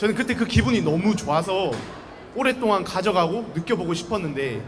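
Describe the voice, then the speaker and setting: In a Busan accent, a man talks at a fairly quick pace with lively intonation, amid noticeable background noise and audible room echo. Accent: Busan dialect (Gyeongsang), noticeable. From South Korea, Busan. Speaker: university student speaker. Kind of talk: public talk to student audience. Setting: outdoor campus busking stage with audience. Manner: casual, conversational.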